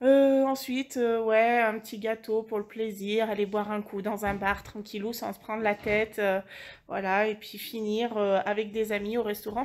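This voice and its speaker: A woman speaks at a fairly high pitch and a fairly slow pace. Her intonation is monotone and flat. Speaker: vlogger and childminder. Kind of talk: casual vlog talk to camera. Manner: hesitant, many fillers.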